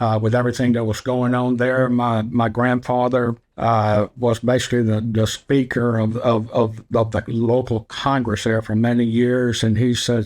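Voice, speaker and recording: The speaker talks at a moderate pace in a monotone, flat intonation. Loudness stays very even over a quiet background. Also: man, medium pitch for a man. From Cuba, raised in Baton Rouge, Louisiana from age 9. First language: Spanish. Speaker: insurance agency owner. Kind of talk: interview storytelling.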